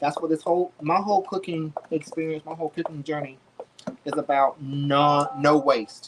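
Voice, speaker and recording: Through noticeable background noise, a man talks with ordinary pitch variation. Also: fairly high pitch for a man. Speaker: home cook livestreamer. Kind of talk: cooking livestream. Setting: home kitchen. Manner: fast; casual, chatty.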